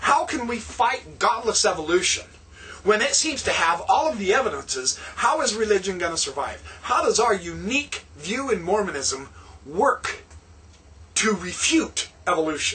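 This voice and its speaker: A man's raised, projected voice at a moderate pace, with very wide pitch swings. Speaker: religious vlogger. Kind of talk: lecture-style vlog monologue. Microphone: webcam.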